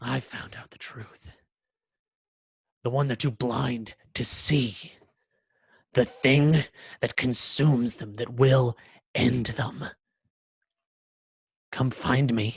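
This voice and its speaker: Using a put-on character voice, the speaker talks very slowly in a monotone, flat way with long, frequent pauses. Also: man, medium pitch for a man. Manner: menacing, echoing through halls.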